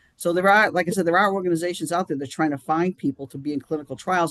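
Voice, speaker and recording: A man speaks with an American accent and ordinary pitch variation. The sound is dry and close with no echo, over a quiet background. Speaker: chairman of a charity action group. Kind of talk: live-streamed interview. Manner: halting, many restarts.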